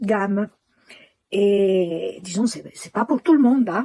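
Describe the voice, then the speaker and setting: With a dark, mellow tone, a woman speaks very slowly at a medium pitch and with ordinary pitch variation. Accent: Italian. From Italy. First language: Italian (speaking French). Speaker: client giving testimonial. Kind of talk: testimony. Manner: halting.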